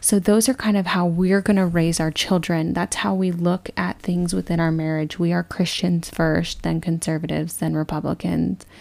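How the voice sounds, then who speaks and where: At a moderate pace with hardly any pauses, a woman with an American accent and an unremarkable speaking voice talks at a fairly low pitch in a very clean recording with a silent background. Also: fairly even intonation. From Texas. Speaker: podcast co-host. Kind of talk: casual chat.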